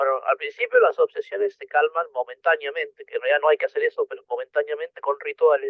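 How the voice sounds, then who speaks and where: Very fast speech with hardly any pauses and big swings in loudness. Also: man. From Argentina, Buenos Aires. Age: 40s. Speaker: person with OCD sharing experience. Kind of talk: interview. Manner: halting.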